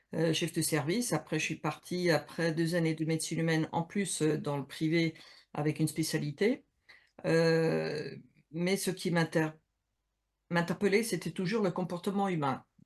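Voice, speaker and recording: Over a quiet background, the speech moves at a fairly slow pace with long, frequent pauses. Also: woman, fairly low pitch for a woman. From Switzerland, mountains. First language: not French (speaking French). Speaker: HR consultant and coach, game co-author. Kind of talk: interview on Instagram live. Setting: Instagram live video call. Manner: hesitant, many fillers.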